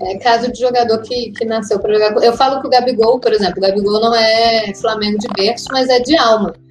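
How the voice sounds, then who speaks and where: A woman with a fairly high pitch talks fairly quickly with hardly any pauses and fairly even intonation. Noticeable background noise is present. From Brazil, Brasília. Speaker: football pundit. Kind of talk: casual chat.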